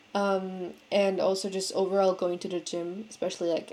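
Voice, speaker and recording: Here is a woman speaking. She has a non-native accent. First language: not English. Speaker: vlogger. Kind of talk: casual monologue. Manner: halting, many fillers.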